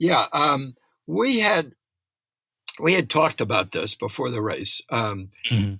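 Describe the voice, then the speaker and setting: With vocal fry and very wide pitch swings, the speaker leaves long, frequent pauses on a very clean recording with a silent background and a dry, close sound with no echo. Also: man, fairly high pitch for a man. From New England, USA. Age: 70s. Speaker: motorcycle racer. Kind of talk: interview answer.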